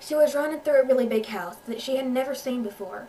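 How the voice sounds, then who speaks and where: Here a woman speaks with a Southern US accent. She goes at a fairly quick pace with ordinary pitch variation. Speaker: amateur author reading own story. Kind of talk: audiobook-style story reading with character voices.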